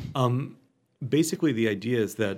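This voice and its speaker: On a very clean recording with a silent background, a man speaks in an unremarkable speaking voice. His pitch is medium and his intonation lively. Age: 30s. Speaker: psychology professor and psychotherapist. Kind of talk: interview.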